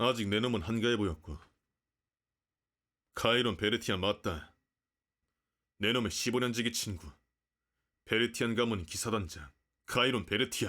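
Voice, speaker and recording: A man puts on a gruff character voice at medium pitch, with ordinary pitch variation and very even loudness. He keeps a moderate pace with long, frequent pauses in a very clean recording with a silent background. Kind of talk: romance roleplay ASMR. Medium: virtual streamer. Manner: gruff, archaic, blunt.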